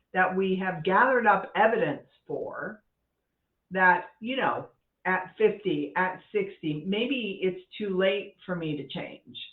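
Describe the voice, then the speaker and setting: A very slow pace with ordinary pitch variation. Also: woman, medium pitch for a woman. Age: 60s. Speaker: life coach for women. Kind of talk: casual talk to camera. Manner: conversational, candid.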